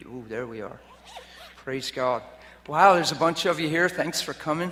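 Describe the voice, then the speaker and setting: A soft-spoken man at a moderate pace with ordinary pitch variation, over noticeable background noise. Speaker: preacher. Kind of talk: sermon. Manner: varies between loud and soft. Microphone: loud and echoey.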